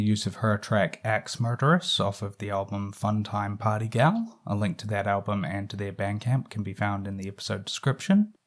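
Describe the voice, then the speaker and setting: At a moderate pace, a man speaks with ordinary pitch variation on a very clean recording with a silent background. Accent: Southern New Zealand. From southern New Zealand (Invercargill). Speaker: horror film podcast host and film critic. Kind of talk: podcast monologue, critical commentary. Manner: casual, hesitant with fillers.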